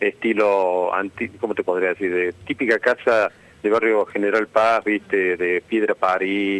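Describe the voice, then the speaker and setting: The sound is dry and close, with no echo. The speaker has a Córdoba Argentine accent. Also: man. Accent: Cordoba Argentine Spanish. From Argentina, Córdoba. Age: 60s. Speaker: architect and lecturer. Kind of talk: radio interview. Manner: halting, with many fillers and restarts.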